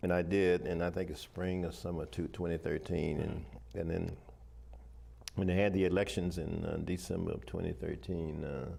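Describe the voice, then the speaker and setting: At a moderate pace, a man with a very deep, low pitch, a dark, mellow tone and vocal fry talks with ordinary pitch variation. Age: 80s+. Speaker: retired army officer and professor. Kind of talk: interview. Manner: halting.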